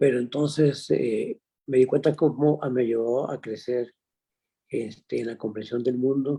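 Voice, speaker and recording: A man's medium-pitched voice, dark and mellow in tone, at a fairly slow pace with fairly even intonation. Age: 80s+. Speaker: painter. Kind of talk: interview. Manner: halting.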